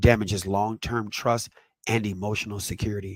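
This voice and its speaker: Here is a man with an ordinary speaking voice, fairly low in pitch, with fairly even intonation. He talks at a moderate pace, the sound dry and close with no echo. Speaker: parenting educator, channel host. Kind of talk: educational presentation.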